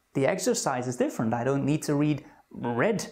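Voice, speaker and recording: A non-native accent at a fairly quick pace. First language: not English. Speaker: anxiety self-help coach. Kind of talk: self-help talk to camera.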